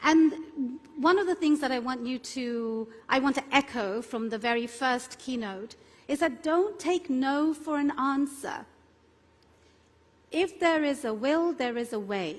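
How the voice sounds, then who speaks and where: Against a very clean, silent background, a woman with a London accent talks at a fairly slow pace and high pitch with lively intonation. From London, England. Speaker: immigration attorney. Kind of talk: conference keynote talk.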